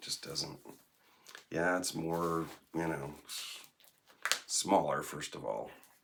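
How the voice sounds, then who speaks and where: Noticeable background noise accompanies a very slow delivery with long, frequent pauses, big swings in loudness and ordinary pitch variation. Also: man, very deep, low pitch for a man. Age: 60s. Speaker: vlogger. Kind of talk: casual monologue vlog. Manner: rambling, hesitant with fillers.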